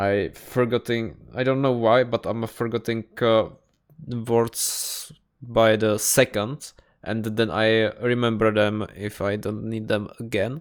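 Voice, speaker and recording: Speaking at a very slow pace, a man holds a medium pitch in a monotone, flat intonation. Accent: Czech. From Czech Republic. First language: Czech. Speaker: YouTuber reacting to videos. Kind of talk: casual reaction commentary. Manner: halting.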